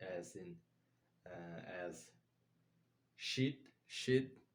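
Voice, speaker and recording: Audible room echo surrounds the man as he talks. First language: not English. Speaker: language learner vlogger. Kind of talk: casual monologue. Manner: halting, many fillers.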